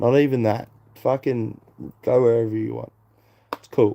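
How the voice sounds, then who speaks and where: This dark, mellow voice moves at a moderate pace with an Australian accent. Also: man. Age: 20s. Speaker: live streamer. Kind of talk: casual chat. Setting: live stream. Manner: rambling.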